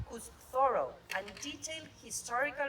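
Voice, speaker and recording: Over noticeable background noise, a woman speaks at a moderate pace. Audible room echo surrounds her voice. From Argentina. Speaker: ambassador. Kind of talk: formal ceremonial speech. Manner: formal.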